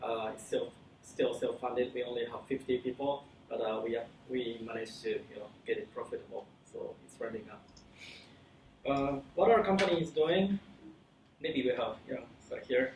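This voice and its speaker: Speaking with a Japanese accent at a moderate pace, a man leaves long, frequent pauses, his loudness swinging widely amid audible room echo. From Japan, Kyoto. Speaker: company founder and CEO. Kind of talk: conference talk. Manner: halting, many fillers and restarts.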